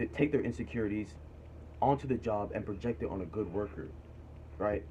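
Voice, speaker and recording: Speaking very fast, a man uses a fairly low pitch, a dark, mellow tone and lively intonation, sounding somewhat breathy. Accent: American. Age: 20s. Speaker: vlogger giving career advice. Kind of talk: casual monologue vlog. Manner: animated, emphatic.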